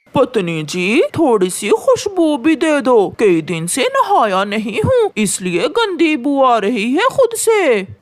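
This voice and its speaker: A high-pitched, cartoonish character voice moves at a fairly slow pace. It has hardly any pauses. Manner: playful, teasing.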